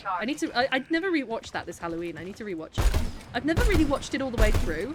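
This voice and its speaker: A woman with a Birmingham accent speaks in a high pitch. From Birmingham, England. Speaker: streamer. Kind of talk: casual chat while gaming. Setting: live stream.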